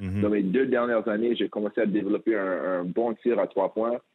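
This is a plain, everyday voice. The pace is fairly quick. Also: man. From Quebec, Montreal. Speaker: former pro basketball player and coach. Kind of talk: interview.

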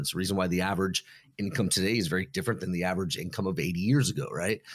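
A man talking at a very fast pace on a very clean recording with a silent background. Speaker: financial advisor. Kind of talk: radio talk show discussion. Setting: radio studio.

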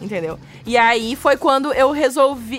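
This woman's voice has a high pitch. Her pitch variation is ordinary. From Florianópolis, southern Brazil. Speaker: comedian. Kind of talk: casual chat. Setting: studio.

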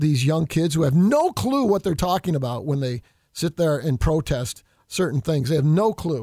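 A man's normal speaking voice with an American accent, fairly slow and fairly high-pitched with lively intonation, on a very clean recording with a silent background. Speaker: state legislator and podcast host. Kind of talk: angry partisan rant, fiery political tirade. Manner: indignant, shouting, sarcastic and heated.

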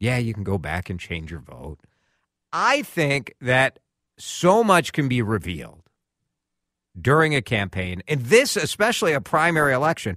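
A man with an American accent speaks at a moderate pace in a medium pitch, bright and sharp in tone with vocal fry, very wide pitch swings and an animated tone. He leaves long, frequent pauses, and the very clean recording has a silent background and a dry, close sound with no echo. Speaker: radio host. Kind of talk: talk radio. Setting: studio.

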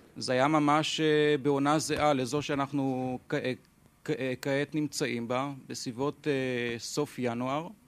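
A man with a fairly high pitch talks very slowly, his intonation monotone and flat and his loudness very even. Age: young. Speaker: birdwatcher and wildlife photographer. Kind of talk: explanation to audience. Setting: stage with audience. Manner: formal.

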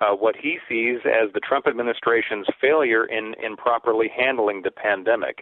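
A man talks at a moderate pace and medium pitch. His is an unremarkable speaking voice. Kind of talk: radio interview on politics. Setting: remote line into radio show.

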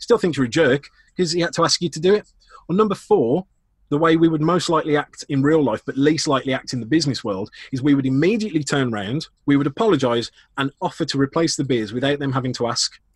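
A somewhat breathy man with a Lancashire accent, a fairly high pitch, a very fast pace and lively intonation, in a dry, close sound with no echo. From northwest England, Chorley. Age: 30s. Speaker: customer experience speaker and consultant. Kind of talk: casual interview chat.

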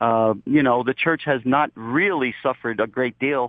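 A man with a plain, everyday voice at a medium pitch speaks at a fairly quick pace with ordinary pitch variation. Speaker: activist. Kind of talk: radio interview.

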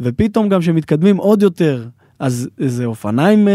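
A man talks fairly slowly in a high, dark, mellow voice with very wide pitch swings. The sound is dry and close, with no echo. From Israel, Ma'ale Adumim near Jerusalem. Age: 30s. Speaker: real estate developer. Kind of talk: interview.

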